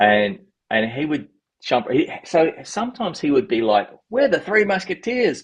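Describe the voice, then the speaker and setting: A man with a high pitch and very wide pitch swings, at a moderate pace. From Australia. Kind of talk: interview answer.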